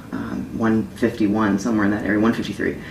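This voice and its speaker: Talking fairly quickly with an American accent, a woman keeps a monotone, flat intonation over noticeable background noise. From Florida. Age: 20s. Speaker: female bodybuilder and personal trainer. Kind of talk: interview. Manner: hesitant, many fillers.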